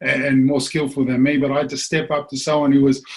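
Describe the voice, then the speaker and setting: With a New Zealand accent, a man speaks at a fairly quick pace in a somewhat breathy voice. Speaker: former rugby league player. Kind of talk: casual chat.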